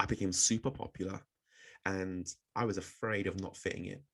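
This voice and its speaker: A man with a southern English accent. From southern England, Oxford and Bristol. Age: 30s. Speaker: public speaking coach. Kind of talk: webinar presentation.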